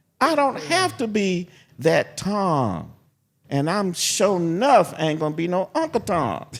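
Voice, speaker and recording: Speaking at a fairly slow pace, a man uses a high pitch with very wide pitch swings. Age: 60s. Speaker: retiree, elder guest. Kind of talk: casual chat.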